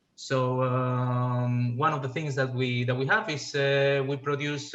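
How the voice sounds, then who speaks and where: A man with a Spanish accent speaks at a fairly slow pace. His medium pitch carries fairly even intonation. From Spain. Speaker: fuel cell scientist, industry panelist. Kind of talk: panel presentation. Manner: halting, many fillers.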